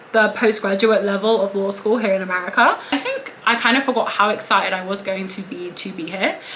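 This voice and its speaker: A woman with a British accent over noticeable background noise. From England. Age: 20s. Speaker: law student. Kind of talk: casual talk to camera.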